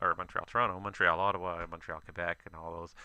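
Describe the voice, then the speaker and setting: A man talks at a very fast pace with a very deep, low pitch. His tone is bright and sharp. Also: quiet background. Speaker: livestreamer playing virtual air traffic controller. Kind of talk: live-streamed ATC role-play with casual commentary. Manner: casual, hesitant with many fillers.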